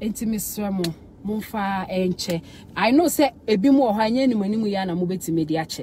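Lively intonation over light background noise, with a dry sound and no echo. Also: woman. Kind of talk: emotional social media apology and rant. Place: car. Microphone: phone near.

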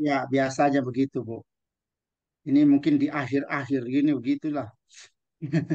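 This man's fairly high-pitched voice has a dark, mellow tone and moves at a fairly quick pace, recorded dry with no echo against a quiet background. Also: very even loudness. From East Nusa Tenggara, Indonesia. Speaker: teacher trainer, webinar speaker. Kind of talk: online webinar presentation; lecture. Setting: video call. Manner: animated. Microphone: video call.

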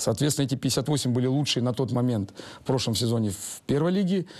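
Against a quiet background, a man talks at a fairly quick pace and a medium pitch. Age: 40s. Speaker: football coach. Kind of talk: interview. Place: hall.

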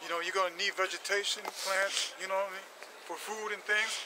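Over noticeable background noise in a dry sound with no echo, a man with a high pitch speaks at a fairly quick pace in a monotone, flat intonation while his loudness swings widely. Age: 40s. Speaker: street preacher. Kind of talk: sermon. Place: street. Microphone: phone near.

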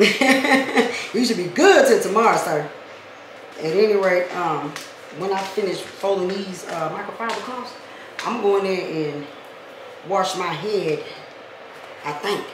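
Amid noticeable background noise and audible room echo, a woman speaks at a fairly slow pace with ordinary pitch variation and long, frequent pauses. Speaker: vlogger. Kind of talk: casual vlog chat. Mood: playful, joking. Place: kitchen. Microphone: camera far.

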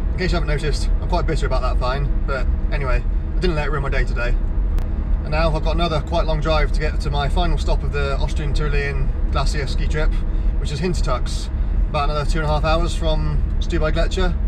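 Over loud noise in the background, a man rattles off his words at a very fast pace. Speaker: ski vlogger. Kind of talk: casual vlog chat. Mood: bitter, complaining about fine. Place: car. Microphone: phone near.

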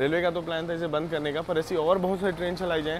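A man's fast, fairly high-pitched voice with little pitch movement over clear background noise

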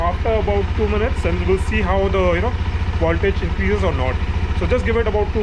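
A man at a very fast pace over loud background noise. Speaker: motorbike owner vlogger. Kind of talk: tutorial. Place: street. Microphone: phone near.

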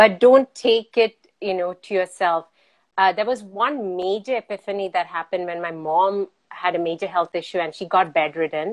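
At a moderate pace, a woman speaks with ordinary pitch variation against a quiet background. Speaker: remote guest. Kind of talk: interview answer. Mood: earnest, animated. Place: home room. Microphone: video call.

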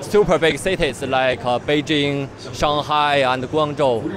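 With noticeable background noise, a man speaks in fairly even intonation, the sound dry with no echo. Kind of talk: product explanation to interviewer. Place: hall. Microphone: handheld.

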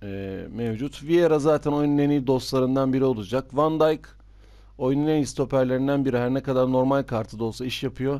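The speaker is a man with a medium pitch. His voice shows ordinary pitch variation. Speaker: gaming youtuber. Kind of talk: game commentary video. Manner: fast.

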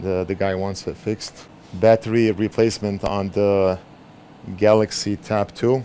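Monotone, flat delivery at a moderate pace, dry with no echo, over light background noise. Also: man. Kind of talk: casual vlog chat. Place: workshop. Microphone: camera far.

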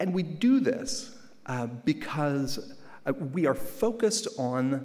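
A man is speaking here. His pitch makes very wide swings. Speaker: keynote speaker. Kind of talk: keynote speech. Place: hall. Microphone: podium.

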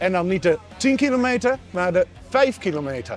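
A man speaks at a fairly slow pace in a high pitch. The sound is dry with no echo, and faint music plays in the background. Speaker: amateur runner vlogger. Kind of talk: casual vlog chat. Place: tent.

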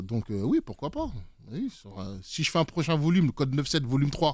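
A man with an unremarkable speaking voice talks at a fairly high pitch with lively intonation, on a very clean recording with a silent background. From French Antilles. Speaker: DJ and music producer. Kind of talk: casual interview. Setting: studio.

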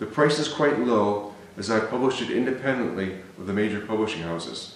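Light background noise and audible room echo accompany a man with a fairly low pitch who talks at a fairly quick pace with ordinary pitch variation. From US Midwest, Cleveland, Ohio; Ohio. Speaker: novelist. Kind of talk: reading aloud. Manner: halting. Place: home room.

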